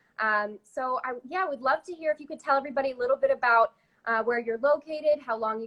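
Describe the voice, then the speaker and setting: In an American accent, a woman talks at a very fast pace. Her pitch is high. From Virginia. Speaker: magazine beauty director, interviewer. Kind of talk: live-streamed interview. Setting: live video stream.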